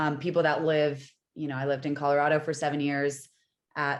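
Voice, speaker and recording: Against a quiet background, a woman talks at a fairly quick pace with a very deep, low pitch. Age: 30s. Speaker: herbalist. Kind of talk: interview. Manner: loud; animated.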